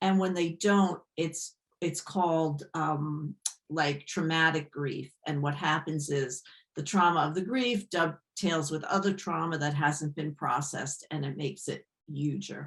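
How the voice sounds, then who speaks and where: Speaking at a fairly slow pace in an American accent, a woman has a very deep, low pitch and ordinary pitch variation. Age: 60s. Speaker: yoga therapist. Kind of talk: interview.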